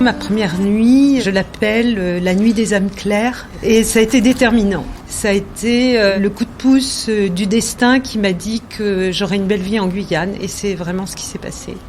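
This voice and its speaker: A woman talks with hardly any pauses and fairly even intonation. Noticeable background noise runs underneath. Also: medium pitch for a woman, fairly slow pace. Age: 60s. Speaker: interviewee sharing life story. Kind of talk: personal testimony. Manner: hesitant, many fillers.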